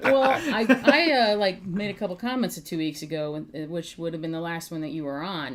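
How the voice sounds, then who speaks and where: Over noticeable background noise, a woman speaks at a moderate pace in a fairly low pitch, with an animated tone and very wide pitch swings. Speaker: podcast guest. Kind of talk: casual chat.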